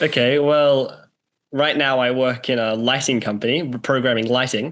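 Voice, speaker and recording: A man with an Australian accent at medium pitch, his intonation fairly even. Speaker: student and astrologer, mystery guest. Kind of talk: interview answers. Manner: halting, hesitant with many ums; reserved, brief answers.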